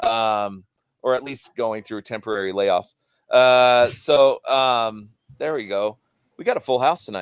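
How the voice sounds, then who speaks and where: In a very clean recording with a silent background and a dry, close sound without echo, a man talks fairly slowly at a medium pitch with ordinary pitch variation and an unremarkable speaking voice. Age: 30s. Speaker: podcast host. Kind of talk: casual chat.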